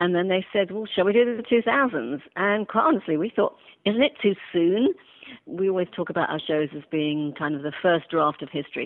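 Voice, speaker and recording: Talking at a fairly quick pace, a woman with a British accent uses a fairly low pitch and lively intonation. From England, London. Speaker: television executive producer. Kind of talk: interview.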